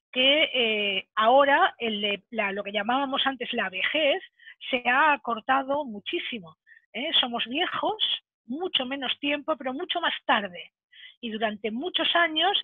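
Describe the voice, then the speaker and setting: Her pitch high and her intonation lively, a woman talks at a fairly slow pace. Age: 60s. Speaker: speaker on careers for senior workers. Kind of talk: webinar talk.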